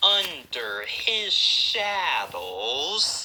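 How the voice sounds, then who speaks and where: A woman talks at a very slow pace against noticeable background noise. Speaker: YouTube commentator. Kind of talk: casual commentary.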